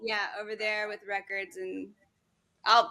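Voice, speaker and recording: With an American accent, a woman talks at a moderate pace. Her fairly high voice has a bright, sharp tone. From US, Swedish American family. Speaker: speed painter. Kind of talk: podcast interview. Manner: loud; animated.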